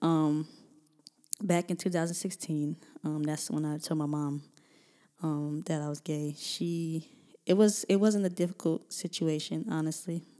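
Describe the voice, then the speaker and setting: In a very clean recording with a silent background, a woman with a very deep, low pitch and a dark, mellow tone speaks at a moderate pace with fairly even intonation. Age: 20s. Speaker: podcast host, nonprofit founder. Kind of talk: casual solo monologue. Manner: halting, many filler sounds.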